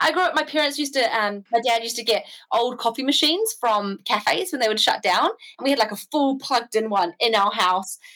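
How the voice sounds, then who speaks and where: With a New Zealand accent, a woman speaks in a high voice with a bright, sharp tone. Her intonation is lively and she barely pauses. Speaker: bike traveller. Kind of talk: casual chat.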